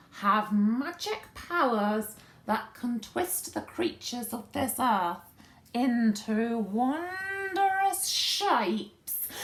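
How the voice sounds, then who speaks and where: A female-sounding put-on character voice, guttural and fairly high-pitched, moves at a very slow pace with very wide pitch swings. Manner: conspiratorial, ominous.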